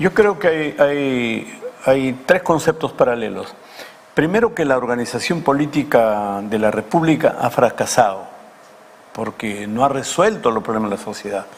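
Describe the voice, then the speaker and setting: Against noticeable background noise, a man with a medium pitch speaks at a fairly slow pace, his voice swinging very widely in pitch. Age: 70s. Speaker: politician, former congressman. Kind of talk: TV interview.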